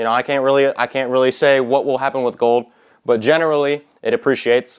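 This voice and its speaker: Over a quiet background, a man with a medium pitch speaks in an animated tone at a fairly quick pace. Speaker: finance YouTuber. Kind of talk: whiteboard tutorial. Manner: fast; casual, animated.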